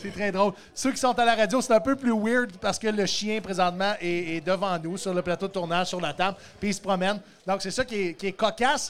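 A high-pitched man with a Quebec accent, a fairly quick pace and ordinary pitch variation. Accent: Québécois French. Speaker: podcast host. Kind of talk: live comedy podcast. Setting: stage with audience. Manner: animated.

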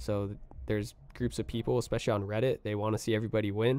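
Using a plain, everyday voice, a man with an American accent talks at a fairly quick pace and fairly low pitch, with fairly even intonation. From US West Coast, Oxnard, California. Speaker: music producer. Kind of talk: casual chat.

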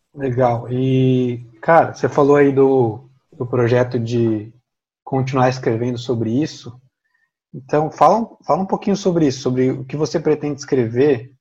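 A man with a dark, mellow tone and a somewhat breathy voice speaks at a fairly slow pace with ordinary pitch variation. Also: medium pitch for a man. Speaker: podcast host, theologian. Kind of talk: podcast interview.

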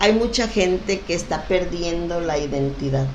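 A woman speaks at medium pitch in an animated tone with ordinary pitch variation. The recording has audible room echo and noticeable background noise. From Mexico, Acapulco (Guerrero coast). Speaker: local business association leader. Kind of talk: casual interview.

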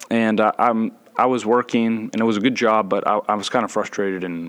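A man with an American accent speaks at a fairly slow pace with fairly even intonation. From US South, Gwinnett County, Georgia. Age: 20s. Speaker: seminary student and new church elder. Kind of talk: casual chat.

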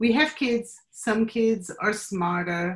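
In a Portuguese accent, a woman speaks in a somewhat breathy voice with ordinary pitch variation. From Brazil. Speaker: marketing professional and clothing designer. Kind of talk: interview.

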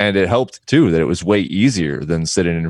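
A man with a very deep, low pitch and vocal fry speaks at a fairly quick pace with lively intonation. The sound is dry and close, with no echo. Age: 30s. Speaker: photographer. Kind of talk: interview.

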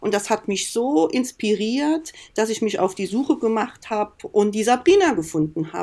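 A woman speaks with a fairly high pitch and lively intonation. Her tone is dark and mellow. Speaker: nurse using aromatherapy in hospital care. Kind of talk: casual chat. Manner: animated.

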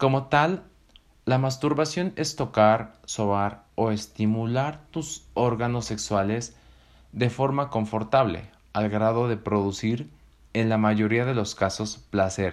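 A man with a Mexican accent, medium pitch and ordinary pitch variation, speaking at a very slow pace on a very clean recording with a silent background. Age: 20s. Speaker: podcast host. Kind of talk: scripted narration. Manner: animated.

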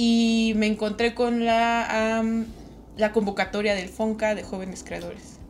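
A woman speaks at a fairly high pitch with a central Mexican accent. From Mexico, Toluca (State of Mexico). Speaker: illustrator. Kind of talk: casual interview chat. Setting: in-person studio recording.

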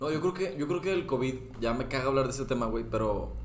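Amid audible room echo, a man with a Mexican accent speaks with vocal fry and ordinary pitch variation. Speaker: podcast co-host. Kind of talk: casual chat.

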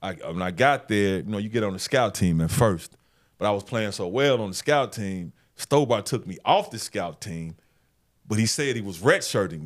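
A man with a fairly low pitch and an ordinary speaking voice talks with an American accent at a moderate pace. His intonation is lively, his loudness swings widely, and the recording is very clean with a silent background. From Memphis, Tennessee, US South. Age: 50s. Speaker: sports journalist. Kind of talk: casual interview. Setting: studio.

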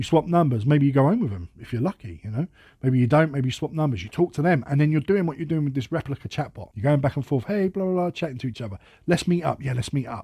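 Lively in intonation and very fast, a man speaks with fairly high pitch, a dark, mellow tone and a somewhat breathy quality. The sound is dry and close with no echo, on a very clean recording with a silent background. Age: 30s. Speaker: podcast host. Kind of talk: monologue. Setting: at workplace. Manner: casual.

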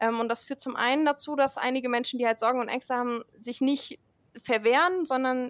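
The recording is very clean, its background silent. The pace of speech is fairly quick. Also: woman. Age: 20s. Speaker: climate activist, student. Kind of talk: podcast interview.

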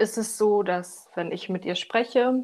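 A woman's fairly high voice, fairly slow in pace, with lively intonation. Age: 20s. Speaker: architect, coaching client. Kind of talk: casual interview, personal testimony. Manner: halting, many fillers.

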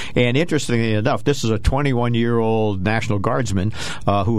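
A man's speech moves at a moderate speed amid noticeable background noise. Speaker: co-host, army veteran and investment counselor. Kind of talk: radio talk show discussion. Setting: radio studio.

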